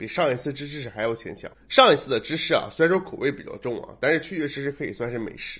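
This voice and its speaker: The delivery is very fast, with hardly any pauses and big swings in loudness. The tone is animated and the intonation lively. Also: man. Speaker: gaming video creator. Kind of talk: casual vlog monologue. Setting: home recording. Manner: animated, jokey.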